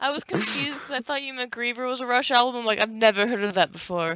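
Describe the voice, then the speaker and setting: A woman with an American accent and a high pitch talks at a very fast pace over noticeable background noise. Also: ordinary pitch variation. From Colorado. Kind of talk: casual conversation.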